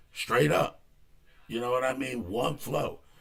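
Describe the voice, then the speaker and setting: The pitch swings up and down over a very wide range. There is vocal fry in the voice. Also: man. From Philadelphia. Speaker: music reviewer. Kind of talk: music review show. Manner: casual, slangy; stammering repetitions.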